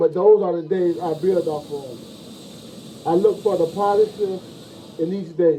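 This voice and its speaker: A man speaks in a Southern US accent at a high pitch. Noticeable background noise runs underneath. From US South, Florida. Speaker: former football player, motivational speaker. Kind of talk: motivational speech. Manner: repetitive, halting.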